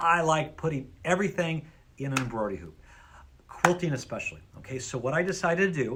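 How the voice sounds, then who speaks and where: Speaking at a fairly quick pace, a man sounds animated, his lively intonation laced with vocal fry. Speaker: sewing store owner demonstrating products. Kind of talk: product demonstration. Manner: loud.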